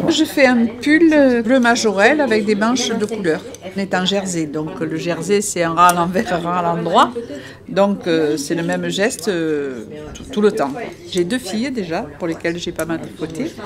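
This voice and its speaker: Noticeable background noise sits behind this recording. A woman at a medium pitch speaks at a fairly slow pace. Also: lively intonation. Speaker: knitter. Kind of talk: interview.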